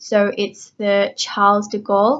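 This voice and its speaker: A woman with an Australian accent, fairly high in pitch, at a fairly slow pace. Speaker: educational YouTuber. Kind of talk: informal educational presentation. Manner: casual, frequent fillers.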